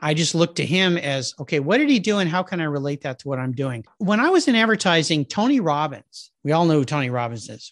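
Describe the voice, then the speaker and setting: A man with a normal speaking voice, fairly high pitch and ordinary pitch variation, in dry, close sound with no echo over a quiet background. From Southern California, US. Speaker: automotive podcast host, marketing background. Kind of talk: casual interview chat.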